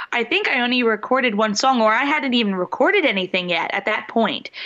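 Noticeable background noise sits behind a woman's voice. She talks at a fairly quick pace with ordinary pitch variation. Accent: slight Philadelphia. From Philadelphia. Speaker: singer and show host.

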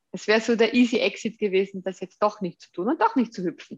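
Against a quiet background, a woman speaks at a medium pitch and a fairly quick pace. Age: 30s. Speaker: startup founder and CEO. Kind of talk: interview. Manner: hesitant with many fillers.

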